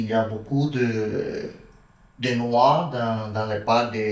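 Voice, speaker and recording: Audible room echo fills the space. A man speaks with a Spanish accent. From Cuba, Santiago de Cuba. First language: Spanish (speaking French). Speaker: film director. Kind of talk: interview. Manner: halting.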